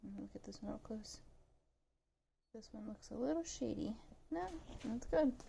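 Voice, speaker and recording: A woman talks at a moderate pace with long, frequent pauses and big swings in loudness. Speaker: vlogger, egg farmer. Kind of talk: casual vlog narration. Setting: kitchen at home. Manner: playful funny voices.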